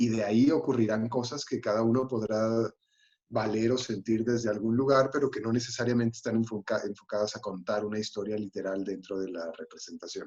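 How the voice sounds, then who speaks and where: Fairly even intonation from a man, delivered at a fairly quick pace. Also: medium pitch for a man. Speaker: actor and playwright. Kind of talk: panel discussion. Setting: livestream. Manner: halting.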